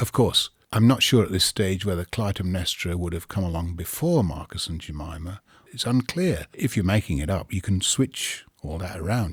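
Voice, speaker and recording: Speaking at a moderate pace with an English accent, a man uses a very deep, low pitch, ordinary pitch variation and a somewhat breathy sound. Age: 60s. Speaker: storyteller. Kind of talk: interview. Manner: hesitant.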